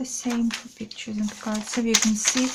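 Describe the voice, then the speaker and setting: Noticeable background noise surrounds a woman talking quietly. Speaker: craft video creator. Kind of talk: product flip-through tutorial. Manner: halting.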